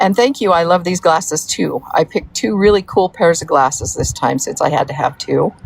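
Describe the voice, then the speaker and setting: Noticeable background noise runs under a woman's voice. She talks at a moderate pace with lively intonation. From US South (Georgia, Florida), born in Wyoming. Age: 60s. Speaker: livestreamer, mother of a soap maker. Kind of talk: casual livestream chat reading comments. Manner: rambling, with many fillers.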